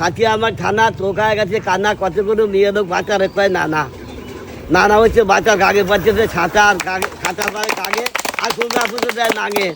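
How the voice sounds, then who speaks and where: A man with a high pitch speaks in fairly even intonation amid noticeable background noise. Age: 70s. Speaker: farmer. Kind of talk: improvised rhyming verse.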